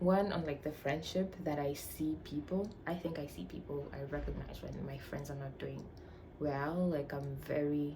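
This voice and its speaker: A woman with a Tanzanian accent speaks at a moderate pace, her pitch very deep and low with ordinary variation. Audible room echo surrounds her voice. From Tanzania, Arusha. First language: Swahili. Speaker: vlogger, university student. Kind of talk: casual chat.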